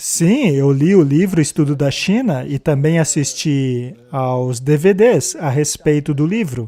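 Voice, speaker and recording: A man speaks very slowly with a dark, mellow tone and a fairly high pitch, his pitch rising and falling in an ordinary way and hardly any pauses breaking his speech. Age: 70s. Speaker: retired zoology professor. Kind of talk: casual conversation.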